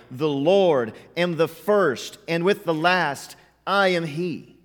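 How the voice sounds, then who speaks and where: A man with an American accent, a normal speaking voice, fairly high pitch and ordinary pitch variation. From US West (Montana, Southern California). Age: 30s. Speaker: pastor. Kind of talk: sermon. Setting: church.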